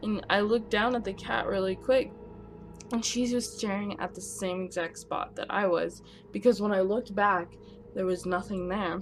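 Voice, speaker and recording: Intonation stays fairly even and the pace moderate, with music in the background. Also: woman, medium pitch for a woman. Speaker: storytime vlogger. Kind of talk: storytelling.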